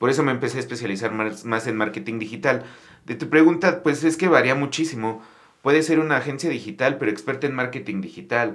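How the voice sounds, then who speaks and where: In a room with audible echo, a man talks very fast at a medium pitch with ordinary pitch variation. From Mexico City. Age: 30s. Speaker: restaurant entrepreneur. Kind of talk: casual interview.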